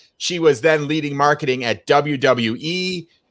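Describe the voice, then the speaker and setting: On a very clean recording with a silent background, a man with an American accent speaks in a fairly high pitch with ordinary pitch variation. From US Midwest, Chicago. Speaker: podcast host. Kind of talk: interview.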